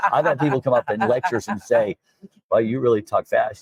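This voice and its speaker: Recorded with a dry, close sound and no echo, a man speaks at a very fast pace. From Alabama. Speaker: dentist. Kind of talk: interview. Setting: dental conference.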